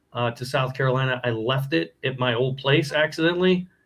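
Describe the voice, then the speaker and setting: Fairly quick speech from a man with a medium pitch. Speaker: horror podcaster. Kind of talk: casual chat. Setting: live stream. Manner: loud.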